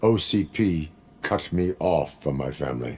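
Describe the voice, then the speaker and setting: A man puts on a character voice. It sits very deep and low in pitch. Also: moderate pace. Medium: video game. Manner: flat, clipped, no contractions.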